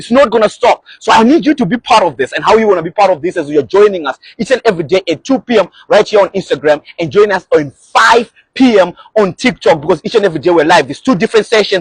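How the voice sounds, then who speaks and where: Here a man speaks at a very fast pace in a high pitch with lively intonation and an energetic tone. The sound is dry and close with no echo. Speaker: motivational speaker. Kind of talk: live stream motivational talk. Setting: Instagram live.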